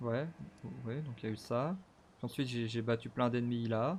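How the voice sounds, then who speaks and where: Here a man of medium pitch speaks at a moderate pace. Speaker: gaming streamer. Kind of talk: let's play commentary. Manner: animated.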